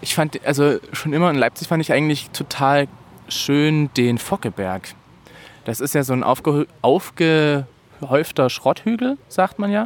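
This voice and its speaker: A man speaks fairly slowly in a normal speaking voice with a fairly high pitch and lively intonation. The sound is dry and close, with no echo. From Saxony, village near Bautzen. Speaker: podcast guest, podcaster. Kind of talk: casual chat.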